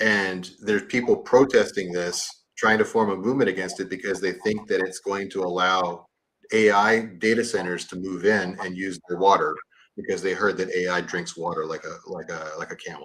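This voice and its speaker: A man's ordinary speaking voice with an American accent, fairly low in pitch, at a moderate pace with fairly even intonation. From US South, East Texas. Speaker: livestream guest. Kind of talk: casual chat.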